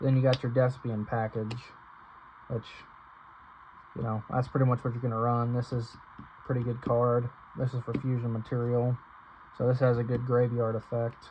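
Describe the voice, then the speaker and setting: Flat, monotone intonation runs through the speech, broken by long, frequent pauses. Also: man, medium pitch for a man. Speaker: card game youtuber. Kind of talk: deck profile tutorial. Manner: stuttering, halting; fast, rushed.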